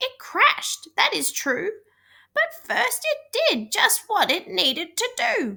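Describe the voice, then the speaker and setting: A woman's put-on character voice, squeaky and extremely high in pitch, at a fairly slow pace. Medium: read story. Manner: warm, encouraging.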